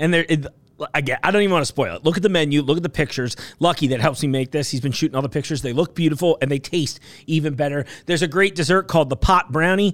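With an American accent, a man talks at a very fast pace in a fairly high pitch. His pitch variation is ordinary, and the sound is dry and close with no echo. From New York. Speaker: podcast host for a market. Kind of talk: casual chat. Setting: studio.

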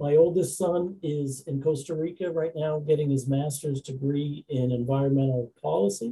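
A man with an American accent and an ordinary speaking voice, fairly high in pitch, at a moderate pace with hardly any pauses and ordinary pitch variation. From southern New Hampshire, US (Nashua). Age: 50s. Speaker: trucking company owner. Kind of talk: interview.

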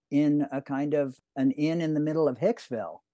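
This man, in a Canadian accent, has a fairly high pitch and a dark, mellow tone at a moderate pace, recorded dry and close with no echo against a quiet background. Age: 60s. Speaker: cartoonist. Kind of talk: interview.

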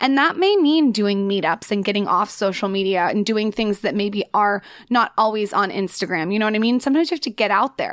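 This woman has an animated tone and a fairly quick pace, with medium pitch and ordinary pitch variation. The recording is very clean, with a silent background. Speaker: lifestyle blogger. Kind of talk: casual interview chat. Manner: loud, animated.

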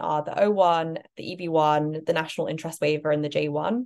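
In a quiet background, a woman with a British accent speaks at a fairly low pitch with ordinary pitch variation. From Britain. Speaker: startup cofounder. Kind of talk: interview.

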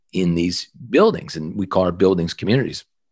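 On a very clean recording with a silent background, the speech moves at a very fast pace. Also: man. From Halifax, Nova Scotia, Canada. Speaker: entrepreneur and author. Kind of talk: interview.

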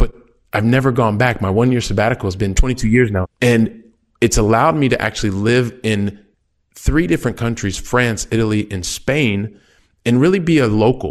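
A man with an American accent talks at a fairly quick pace and medium pitch, with ordinary pitch variation and a plain, everyday voice. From US. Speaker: real estate investor and advisor. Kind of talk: casual interview. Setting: video call from abroad.

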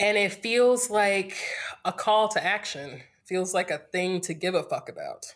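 With an American accent, a woman uses an unremarkable speaking voice at a medium pitch, talking at a fairly slow pace with lively intonation. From US South, North Carolina (Greensboro). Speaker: podcast guest. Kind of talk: casual chat.

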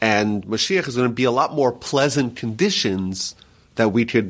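The recording is very clean, with a silent background. A man speaks at a medium pitch with ordinary pitch variation, in an unremarkable speaking voice. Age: 30s. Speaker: rabbi. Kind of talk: interview teaching.

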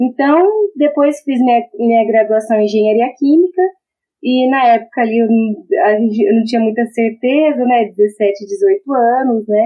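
A woman's fairly high voice moves at a fairly slow pace with lively intonation. Her loudness stays very even. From Brazil, Maringá (Paraná). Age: 30s. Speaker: engineering lecturer. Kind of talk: interview.

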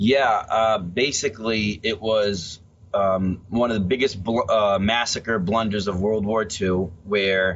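A man with a normal speaking voice talks at a fairly slow pace and a fairly low pitch. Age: 30s. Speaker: author and police officer. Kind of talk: interview. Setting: video call.

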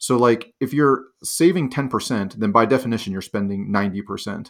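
A normal speaking voice from a man with an American accent and a fairly low pitch. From Pittsburgh, Pennsylvania. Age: 40s. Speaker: financial independence author and planner. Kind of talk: interview conversation. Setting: remote call.

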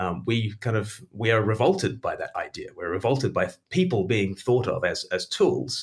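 A man with an Australian accent talks at a moderate pace with hardly any pauses. The recording is very clean, with a silent background. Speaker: author. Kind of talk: interview.

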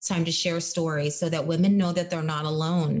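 A woman talks at a fairly quick pace. Her fairly low voice is somewhat breathy. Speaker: podcast host and speaker. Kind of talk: casual interview chat. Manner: energetic, voice goes up and down.

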